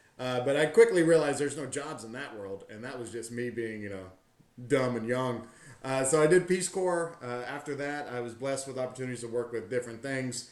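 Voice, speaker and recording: With an American accent, a man talks in a medium pitch with ordinary pitch variation and big swings in loudness, over noticeable background noise and audible room echo. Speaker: tour company owner, army veteran. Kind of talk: podcast interview.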